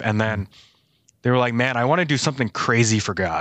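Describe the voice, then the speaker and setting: Against a quiet background, a man with an American accent speaks in a normal speaking voice at a moderate pace, with fairly even intonation. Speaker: church staff member. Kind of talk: casual chat.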